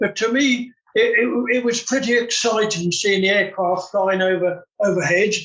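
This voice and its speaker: Hardly pausing, a man with a southern English accent speaks at a moderate pace and a high pitch. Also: ordinary pitch variation, very even loudness. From southern England, West Sussex. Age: 80s+. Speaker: retired bomb disposal expert. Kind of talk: interview conversation. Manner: halting.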